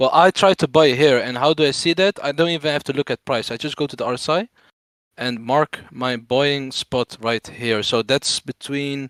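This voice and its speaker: Recorded very cleanly with a silent background and a dry, close sound with no echo, the speaker has a non-native accent, a moderate pace and ordinary pitch variation. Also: man. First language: not English. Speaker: crypto trader explaining chart analysis. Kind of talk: live stream tutorial. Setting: live stream. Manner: stutter.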